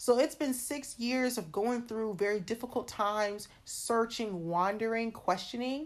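A woman with a fairly high voice and an ordinary speaking voice talks with hardly any pauses and ordinary pitch variation against a quiet background. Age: 20s. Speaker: podcast host. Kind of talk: casual monologue.

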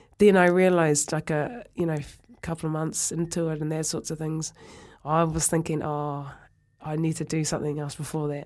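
On a very clean recording with a silent background, a woman with a New Zealand accent speaks in a very deep, low voice with monotone, flat intonation at a moderate pace. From New Zealand, North Otago. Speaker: former rugby player. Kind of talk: interview.

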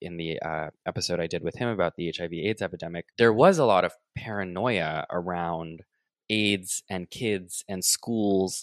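A man with an American accent and a very deep, low pitch talks at a moderate pace in a very clean recording with a silent background. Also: dry, close sound with no echo. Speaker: podcast host. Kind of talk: interview conversation. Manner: animated.

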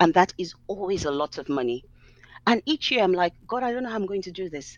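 Over a quiet background, a woman talks at a very fast pace with very wide pitch swings. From Nigeria. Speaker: author and ministry founder. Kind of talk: interview conversation.

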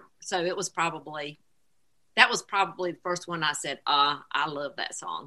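With a Southern US accent, the speaker has a bright, sharp tone, big swings in loudness, ordinary pitch variation and a moderate pace. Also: woman, fairly low pitch for a woman. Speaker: singer's mother. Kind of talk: casual chat.

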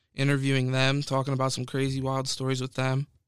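A man at medium pitch with an American accent, talking at a very fast pace on a very clean recording with a silent background. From Pennsylvania, suburban Philadelphia. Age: 20s. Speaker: college student podcaster. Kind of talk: solo podcast monologue.

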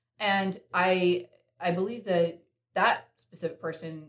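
A woman talks with an American accent and fairly even intonation. Her pitch is fairly low. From US South, North Carolina. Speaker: entrepreneur. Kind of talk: casual chat.

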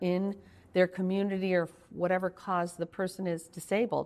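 With an American accent, a woman has an unremarkable speaking voice at medium pitch and a moderate pace, over a quiet background. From Rochester, New York. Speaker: healthcare consultant and nurse. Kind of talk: interview.

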